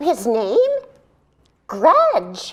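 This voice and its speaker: A female-sounding voice uses a put-on character voice. The pitch sits high. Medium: stage play. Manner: chatty, giggly.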